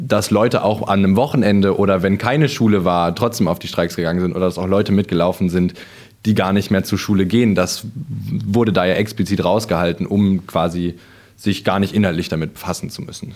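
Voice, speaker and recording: Speaking at a fairly quick pace, a man with fairly low pitch keeps his intonation fairly even. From Sauerland, North Rhine-Westphalia. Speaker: student climate activist. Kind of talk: interview. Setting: company premises. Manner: hesitant with fillers.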